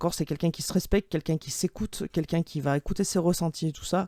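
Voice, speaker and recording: The tone is dark and mellow, with a dry, close sound and no echo. The recording is very clean, with a silent background. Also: woman. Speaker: tarot card reader. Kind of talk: tarot reading. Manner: hesitant, many fillers.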